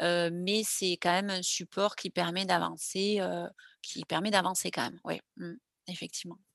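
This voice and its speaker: The dry, close recording with no echo carries a woman's medium-pitched voice, delivered fairly slowly in a monotone, flat intonation. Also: quiet background. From southwestern France, Landes. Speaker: lifeguard athlete and ocean rower. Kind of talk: interview testimony. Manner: halting.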